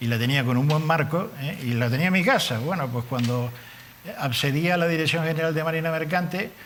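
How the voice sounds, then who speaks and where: A man speaks at a fairly quick pace with a fairly high pitch and ordinary pitch variation, over noticeable background noise and audible room echo. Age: 70s. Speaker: politician. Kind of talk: TV interview. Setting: TV studio.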